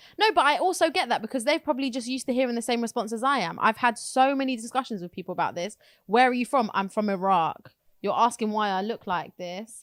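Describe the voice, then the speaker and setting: Lively intonation marks a woman's London accent as she speaks at a very fast pace. The recording is very clean, with a silent background. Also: fairly high pitch for a woman. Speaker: podcast co-host. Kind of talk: casual chat.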